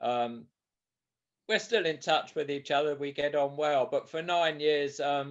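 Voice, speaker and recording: A man with a southern English accent speaks in a fairly high pitch with ordinary pitch variation. His pace is fairly slow against a quiet background. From southern England, Sussex. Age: 70s. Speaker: author and ultramarathon runner. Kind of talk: interview. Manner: hesitant, repeats words.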